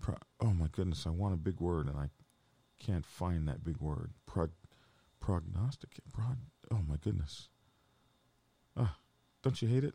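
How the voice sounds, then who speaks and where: With an American accent, a man with a very deep, low pitch and a dark, mellow tone speaks somewhat breathily at a moderate pace, with lively intonation and long, frequent pauses. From Oklahoma. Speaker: biker channel host. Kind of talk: late-night livestream chat. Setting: live stream. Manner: casual, frequent filler words.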